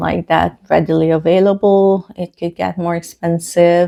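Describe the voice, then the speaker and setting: Speaking with a Hungarian accent, a woman talks at a fairly slow pace and a fairly low pitch. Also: very clean recording, silent background. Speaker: book vlogger. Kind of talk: casual vlog talk. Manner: hesitant, many fillers.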